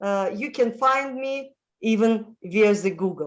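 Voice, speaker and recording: A woman talks in a Russian accent with ordinary pitch variation. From Moldova, former Soviet Union. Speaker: international lifestyle consultant. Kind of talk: interview. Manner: halting, many fillers.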